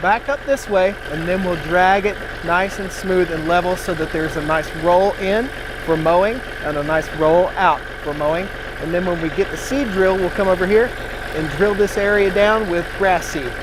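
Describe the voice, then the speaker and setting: Loud and high-pitched, a man speaks at a moderate pace, with audible room echo and noticeable background noise. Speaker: farmer and tractor vlogger. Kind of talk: outdoor how-to vlog. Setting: outdoors on a farm.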